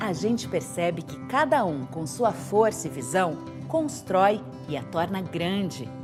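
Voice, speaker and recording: Backed by music, a woman talks at a fairly slow pace. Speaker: voice-over artist. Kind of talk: documentary narration. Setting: home studio. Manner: friendly, conversational.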